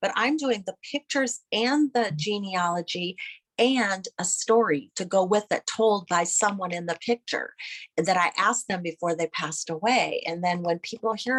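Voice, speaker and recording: In an American accent, a woman speaks at a moderate pace with ordinary pitch variation and an ordinary speaking voice, the sound dry and close with no echo. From US Midwest, Iowa. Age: 60s. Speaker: family historian and photographer. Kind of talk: interview conversation.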